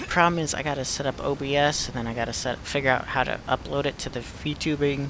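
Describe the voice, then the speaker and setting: A man's voice, fairly high in pitch, with noticeable background noise behind it. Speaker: streamer. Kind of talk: live gameplay stream. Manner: casual, chatty.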